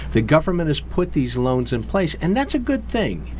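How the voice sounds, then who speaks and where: Background noise is noticeable and room echo audible. Through it, a man talks with an American accent. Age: 50s. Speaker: financial services professional. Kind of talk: interview. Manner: animated.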